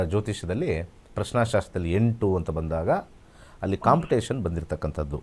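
A man's voice with vocal fry. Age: 50s. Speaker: astrologer. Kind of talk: live call-in astrology consultation.

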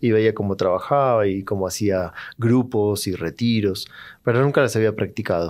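A man's fairly low-pitched voice at a moderate pace, with fairly even intonation. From Argentina. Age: 40s. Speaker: psychologist; podcast guest. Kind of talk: interview conversation. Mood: calm, reflective storytelling. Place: studio. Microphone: studio mic.

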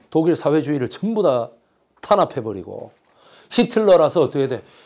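A man's fairly high, animated voice with vocal fry and very wide pitch swings at a fairly slow pace, in a very clean recording with a silent background. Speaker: history lecturer. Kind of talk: lecture. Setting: lecture room with audience. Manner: loud.

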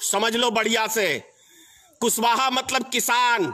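A man's raised, projected voice at an extremely high pitch, very slow in pace with fairly even intonation. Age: old. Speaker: political activist; speaker. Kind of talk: political speech. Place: home room. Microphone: phone near.

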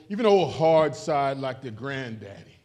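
A man's slightly mellow tone at a moderate pace

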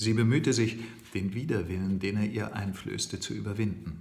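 Somewhat breathy, a man speaks at a fairly low pitch with fairly even intonation. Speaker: audiobook reader. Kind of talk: novel reading. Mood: calm storytelling. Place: kitchen. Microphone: phone near.

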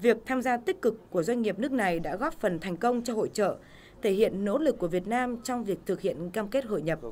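Her slightly mellow tone at a medium pitch, the woman talks at a fairly quick pace with lively intonation.

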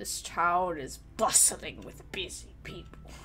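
A woman growls out a put-on character voice at a fairly slow pace. Background noise is clearly audible.

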